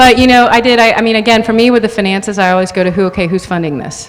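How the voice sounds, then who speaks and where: A woman with an American accent speaks with ordinary pitch variation over noticeable background noise. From Texas. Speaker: food advocate and speaker. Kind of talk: panel discussion with audience Q&A.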